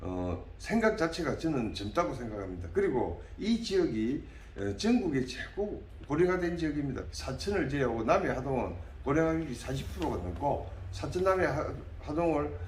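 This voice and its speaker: There is audible room echo around a man at a fairly high pitch. His pitch swings very widely. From South Korea, Namhae, South Gyeongsang. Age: 60s. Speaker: parliamentary candidate, dentist. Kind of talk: interview.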